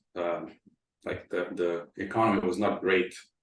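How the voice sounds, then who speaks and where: A man's very deep, low voice in monotone, flat intonation. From Croatia. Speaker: tech company founder. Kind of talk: interview.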